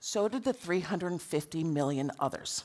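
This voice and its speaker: In an American accent, a woman talks at a moderate pace in an animated tone. Her pitch swings very widely. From United States. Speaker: anti-nuclear campaigner and speaker. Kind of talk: conference talk.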